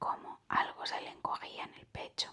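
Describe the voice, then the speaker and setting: Whispering at a very slow pace, the speaker keeps a calm tone. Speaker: ASMR storyteller. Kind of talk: ASMR whispered story reading. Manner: whispered, soft, calm.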